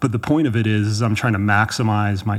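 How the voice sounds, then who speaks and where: A man with an American accent has an ordinary speaking voice, a fairly low pitch, and fairly even intonation. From Texas, Dallas. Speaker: ultrarunning coach. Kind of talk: casual interview chat. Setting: in person in Chamonix, France.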